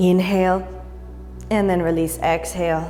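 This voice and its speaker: A woman's calm, soothing tone over music in the background. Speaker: yoga instructor. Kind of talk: guided yoga class instruction.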